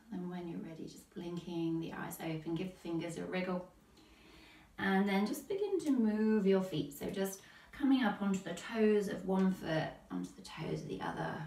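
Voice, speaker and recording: A woman at medium pitch with ordinary pitch variation and big swings in loudness, amid audible room echo and noticeable background noise. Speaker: yoga teacher. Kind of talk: guided yoga class. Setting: livestream class. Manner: calm, slow.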